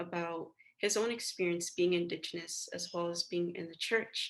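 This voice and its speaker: A woman with a normal speaking voice, fairly low in pitch, talks at a moderate pace with fairly even intonation. The background is quiet. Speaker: interviewer. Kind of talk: interview questions.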